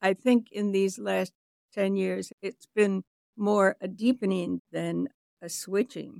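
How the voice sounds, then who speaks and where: Very slow delivery with an American accent, dry and close-miked with no echo. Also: woman. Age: 80s. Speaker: retired educator and chaplain. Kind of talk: reflective interview conversation.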